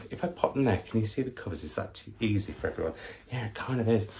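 A man's fairly low, somewhat breathy voice at a very fast pace. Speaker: book vlogger. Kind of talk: casual vlog chat. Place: home room. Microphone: camera far.

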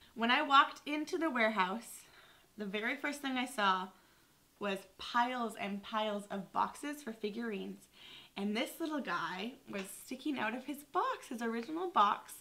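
A woman's bright, sharp tone with lively intonation. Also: moderate pace. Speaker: vintage reseller vlogger. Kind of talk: casual vlog chat. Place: home room.

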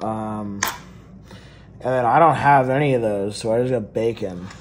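Light background noise sits under a man who talks at a fairly slow pace. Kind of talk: casual cooking tutorial chat. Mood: relaxed, joking. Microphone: phone near.

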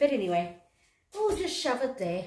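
The tone is dark and mellow, with audible room echo. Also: woman. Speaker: fashion haul vlogger. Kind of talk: casual vlog chat. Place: home room. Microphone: phone near.

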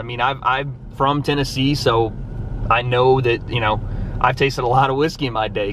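Light background noise sits under a man's fairly even intonation, and the sound is dry with no echo. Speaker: vlogger. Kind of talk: casual vlog chat. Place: car. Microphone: phone near.

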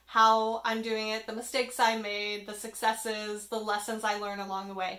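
Against a quiet background, a woman talks at a moderate pace in a bright, sharp tone. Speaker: author vlogger. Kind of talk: casual vlog chat. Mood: friendly, self-deprecating. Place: home room. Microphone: phone near.

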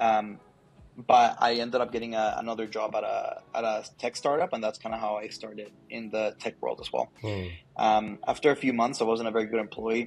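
The delivery from this man has monotone, flat intonation. His pace stays moderate. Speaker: guest. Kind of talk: interview answer. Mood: relaxed, good-humored. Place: office. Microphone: earbuds.

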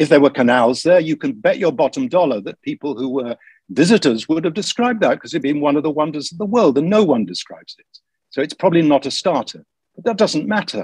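Talking at a very fast pace, a man with a fairly high pitch makes very wide pitch swings and big swings in loudness, in a dry sound with no echo. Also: quiet background. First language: English (speaking Indonesian). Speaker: history professor. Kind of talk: online lecture with Q&A. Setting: video call webinar. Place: home room. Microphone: video call.

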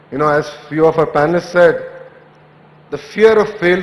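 Here a man talks at a moderate pace with ordinary pitch variation. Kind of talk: speech. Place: hall. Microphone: podium.

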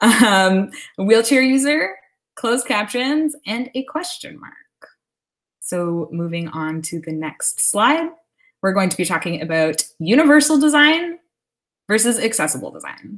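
A woman with a Canadian accent speaks at a fairly high pitch and a fairly slow pace, her pitch swinging very widely and her loudness rising and falling sharply. Long pauses come often, and the background is quiet. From Canada, Hamilton, Ontario; Ontario, Canada. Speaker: graphic designer and moderator; moderator. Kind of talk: webinar presentation. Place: home room. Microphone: webcam.

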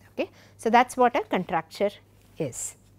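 Her intonation lively, a woman talks at a fairly slow pace. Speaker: university professor. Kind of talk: lecture. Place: studio.

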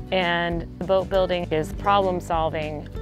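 A woman's voice in a dry setting with no echo, clear music in the background. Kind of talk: interview answer. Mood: warm, reflective.

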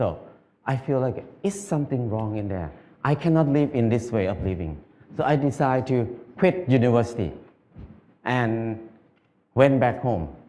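A man speaks in a dark, mellow tone, leaving long, frequent pauses. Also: moderate pace. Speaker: speaker. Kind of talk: public talk. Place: stage. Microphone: headset.

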